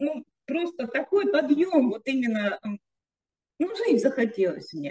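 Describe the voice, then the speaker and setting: In a quiet background, a woman with a high, dark, mellow voice speaks very slowly, leaving long, frequent pauses and swinging very widely in pitch. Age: 60s. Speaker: network marketing participant. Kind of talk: testimony. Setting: video call. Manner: halting. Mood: emotional, uplifted. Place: home room. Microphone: video call.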